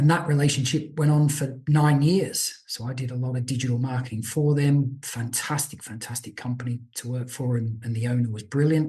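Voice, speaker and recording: With an Australian accent, the voice is somewhat breathy and dark, mellow in tone. It runs at a fairly quick pace with hardly any pauses and fairly even intonation. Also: man, medium pitch for a man. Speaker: business owner. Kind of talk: podcast interview.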